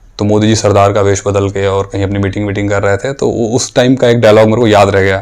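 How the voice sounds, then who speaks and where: With hardly any pauses, a man speaks at a fairly low pitch in monotone, flat intonation. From Ghazipur, Uttar Pradesh, India. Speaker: actor and voice-over artist. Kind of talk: interview answer.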